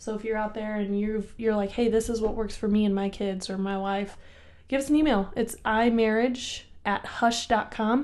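Fairly high-pitched, a woman's plain, everyday voice at a moderate pace with fairly even intonation. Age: 20s. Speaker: podcast co-host, working mom. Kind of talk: casual chat.

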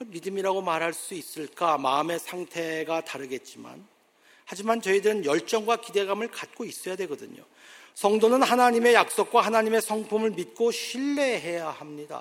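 A man's high-pitched voice moves at a moderate pace, its intonation lively throughout. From South Korea. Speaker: pastor. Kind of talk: sermon. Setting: church.

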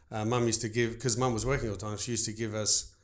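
A man with an Australian accent speaks at a very fast pace and medium pitch, with vocal fry. The recording is very clean, with a silent background. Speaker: baker and business owner. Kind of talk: casual interview.

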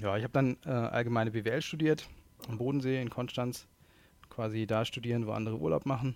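With ordinary pitch variation, a man speaks at a fairly quick pace in a medium pitch. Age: 30s. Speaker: e-commerce executive. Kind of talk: interview. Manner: hesitant with fillers.

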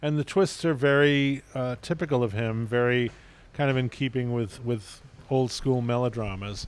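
The recording is very clean, with a silent background. A man speaks in a normal speaking voice at medium pitch, with ordinary pitch variation and a moderate pace. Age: 60s. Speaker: film critic. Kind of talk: casual film discussion. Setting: at a film festival in Venice.

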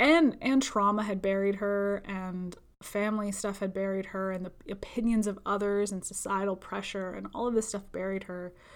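At a moderate pace, a woman speaks in a normal speaking voice of medium pitch. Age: 20s. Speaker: spiritual healer and podcast host. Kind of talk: solo monologue podcast. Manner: frequent laughter.

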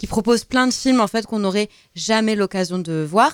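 A woman's voice at medium pitch, moderate pace, and ordinary pitch variation. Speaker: radio host. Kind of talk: casual chat. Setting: studio. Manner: halting.

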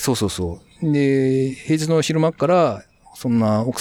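Lively intonation marks this man's speech, heard in a dry, close sound with no echo. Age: 40s. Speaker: freelance web engineer. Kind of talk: casual interview. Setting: remote recording.

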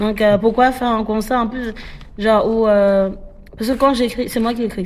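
Here a woman talks fairly quickly. She has a fairly high pitch. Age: 20s. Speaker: rapper. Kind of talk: casual interview.

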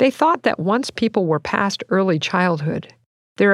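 Recorded dry and close with no echo, a woman speaks at a moderate pace with very wide pitch swings. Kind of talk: audiobook reading. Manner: measured, even, formal narration; clear explanatory tone.

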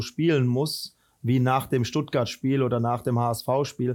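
A man at a moderate pace, monotone and flat in intonation, on a very clean recording with a silent background. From Rhineland, Germany. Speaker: football head coach. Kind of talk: interview.

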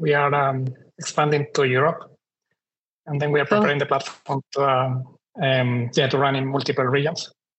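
A man speaks with a Spanish accent at a moderate pace. His fairly high pitch follows a fairly even intonation. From Chile. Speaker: startup CTO. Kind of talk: panel discussion.

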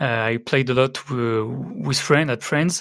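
A French accent at a fairly slow pace. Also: man. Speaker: game developer. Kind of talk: casual interview. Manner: halting.

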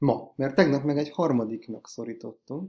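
In a dark, mellow tone, a man keeps a moderate pace, his pitch varying in an ordinary way. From Hungary. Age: 30s. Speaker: podcast host. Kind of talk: casual chat.

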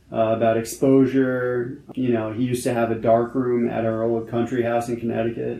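Over noticeable background noise, a man with an American accent talks at a fairly slow pace, his medium-pitched voice monotone and flat. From New York City, Manhattan. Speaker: photographer. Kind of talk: interview conversation. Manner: halting, many fillers.

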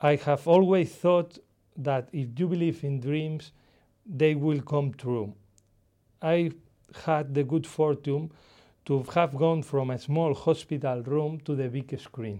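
A man with a Spanish accent, very slow pace and long, frequent pauses, fairly even intonation, quiet background. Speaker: author. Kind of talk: speech. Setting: stage with audience. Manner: humorous.

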